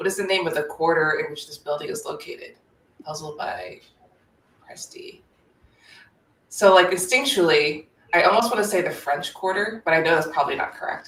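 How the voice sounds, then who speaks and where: Talking at a fairly quick pace with an American accent, a woman shows big swings in loudness and takes long, frequent pauses. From United States. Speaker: open-source investigator. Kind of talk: live stream, solving puzzles aloud. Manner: halting, many fillers.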